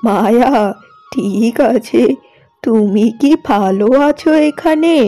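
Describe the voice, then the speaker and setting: With music playing faintly behind her, a woman does a cartoonish character voice at a fairly high pitch, with lively intonation and a very slow pace. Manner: gentle, motherly.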